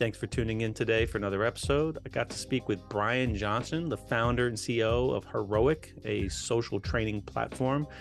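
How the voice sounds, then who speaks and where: Over music in the background, a man at medium pitch talks with hardly any pauses, very even loudness and ordinary pitch variation. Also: moderate pace. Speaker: podcast host. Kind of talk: podcast intro.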